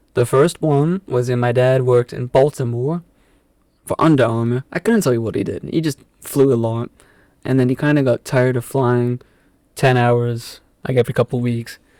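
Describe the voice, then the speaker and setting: A man speaks at a moderate pace with a South African accent, his pitch medium and his intonation fairly even. His tone is dark and mellow, and the sound is dry and close with no echo. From England, southwest London (Epsom). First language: Afrikaans. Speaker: podcast guest. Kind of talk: casual chat. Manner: halting.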